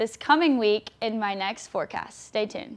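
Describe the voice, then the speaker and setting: With ordinary variation in pitch, a woman talks at a moderate tempo. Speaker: reporter. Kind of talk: TV news brief and weather forecast.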